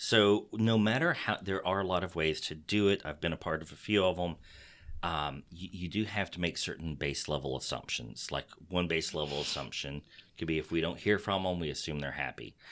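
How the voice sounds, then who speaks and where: On a very clean recording with a silent background, a man with a Texas accent speaks at a fairly quick pace in a very deep, low pitch with ordinary pitch variation. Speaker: podcast host. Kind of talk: casual podcast chat. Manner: animated, joking.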